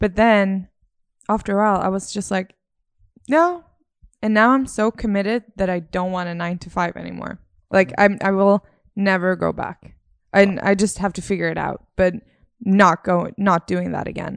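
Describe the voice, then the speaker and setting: A woman speaks at a medium pitch and a moderate pace. Her loudness swings widely, and she leaves long, frequent pauses. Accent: American. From Sweden. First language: Swedish. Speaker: podcast co-host. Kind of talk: casual chat.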